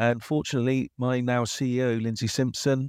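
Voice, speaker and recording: The sound is dry and close, with no echo. It is an ordinary speaking voice at a moderate pace. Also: man. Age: 50s. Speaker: age inclusion advocate, organisation director. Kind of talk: podcast interview.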